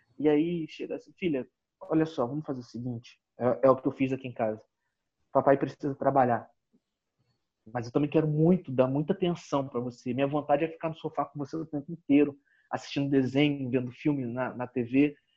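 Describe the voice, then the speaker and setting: A man with a plain, everyday voice speaks at a fairly high pitch and a fairly quick pace with fairly even intonation. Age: 30s. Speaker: business consultant and coach. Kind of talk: interview. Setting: video call.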